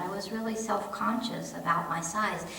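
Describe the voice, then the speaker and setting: A woman with a fairly high pitch and very wide pitch swings, amid audible room echo and noticeable background noise. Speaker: pastor. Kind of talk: sermon. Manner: halting, repeats words.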